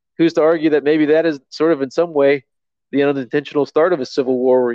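This man has an unremarkable speaking voice, fairly high-pitched for a man, with an American accent, fairly even intonation and a fairly quick pace. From Virginia, US. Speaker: podcast guest. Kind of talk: casual chat. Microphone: headset plugged into phone.

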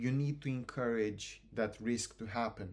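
A man speaks very slowly with a Romanian accent. His pitch sits in the middle range and varies in an ordinary way. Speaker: university student, student society president. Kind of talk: casual interview chat.

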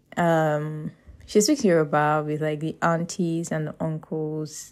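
A woman's very deep, low voice at a very slow pace. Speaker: podcast host. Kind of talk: casual monologue. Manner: informal, unedited with laughs.

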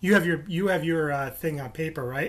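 The speaker is a man with an ordinary speaking voice. He has a fairly high pitch, and it varies in an ordinary way. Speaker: podcast host. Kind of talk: casual chat. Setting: remote recording. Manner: jokey, laughing.

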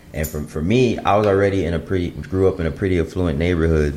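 Over noticeable background noise, a man with an American accent talks at a fairly quick pace with ordinary pitch variation. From Chicago suburbs, US Midwest. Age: 20s. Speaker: guest. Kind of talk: casual chat.

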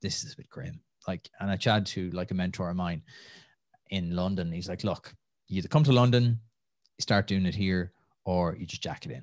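In a Tipperary accent, a man speaks fairly quickly in a very deep, low pitch with ordinary pitch variation, the sound dry and close with no echo over a quiet background. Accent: Irish (Tipperary). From Ireland, Tipperary (near Nenagh). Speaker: entrepreneur and podcaster. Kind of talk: casual interview.

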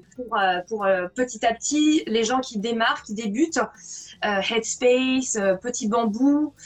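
Speaking very slowly, a woman uses a high pitch. Her pitch variation is ordinary. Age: 40s. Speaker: wellbeing blogger and author. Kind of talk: casual interview on a live video stream. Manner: casual, slangy.

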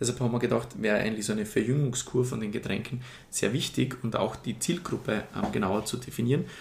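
A man's medium-pitched voice with vocal fry and ordinary pitch variation at a very fast pace. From Austria, Styria (Murtal). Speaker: cider company co-founder, business student. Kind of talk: interview.

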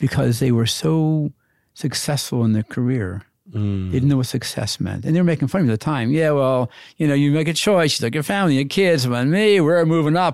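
A man with an ordinary speaking voice talks at a fairly quick pace, fairly high in pitch, with lively intonation and very even loudness. The recording is very clean, with a silent background. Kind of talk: casual interview chat.

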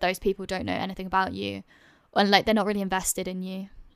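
A woman with a London accent, medium pitch and a bright, sharp tone, in monotone, flat intonation, in a very clean recording with a silent background. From London, England. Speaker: YouTuber guest.

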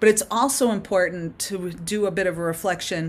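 Her medium-pitched, ordinary speaking voice moving at a moderate pace, a woman is heard in a very clean recording with a silent background. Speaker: performance psychologist. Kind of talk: interview answers, explanatory.

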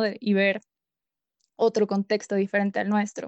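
A woman talks at a moderate pace in a plain, everyday voice with a fairly high pitch, and the sound is dry and close with no echo. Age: 20s. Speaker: student podcast co-host. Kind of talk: casual interview.

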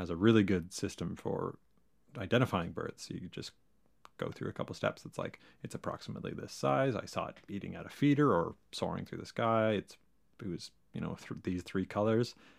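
Someone talks in a plain, everyday voice at a fairly quick pace with lively intonation. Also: man. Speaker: host's husband. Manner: joking.

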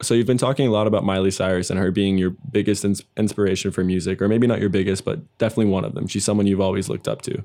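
The tone is dark and mellow, with fairly even intonation. The pace is very fast. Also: man, fairly low pitch for a man. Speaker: podcast host. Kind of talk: casual interview.

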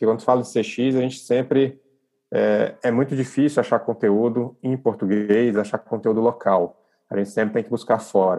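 Fairly even intonation marks a man's dark, mellow voice. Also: medium pitch for a man, moderate pace. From Brazil, Brasília. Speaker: online community founder, customer experience professional. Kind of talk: podcast interview.

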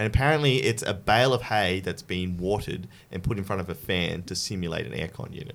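A man's fairly low voice in an Australian accent, with lively intonation and a very fast pace. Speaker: podcast host. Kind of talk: casual chat.

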